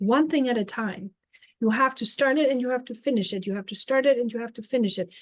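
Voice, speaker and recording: Speaking at a fairly quick pace, a woman with a German accent uses a high pitch and ordinary pitch variation. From Germany. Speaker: life coach. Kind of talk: live stream talk.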